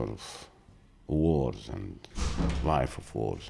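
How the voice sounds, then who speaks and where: At a very slow pace, a man with a very deep, low voice and vocal fry speaks with lively intonation. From Gaza Strip, Palestine. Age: 60s. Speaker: former journalist and TV producer. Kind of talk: interview. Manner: halting with fillers.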